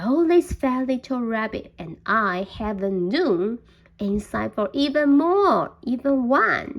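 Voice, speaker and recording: The voice is a put-on character voice from a woman. Her pitch is high and her pace fairly slow. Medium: read story.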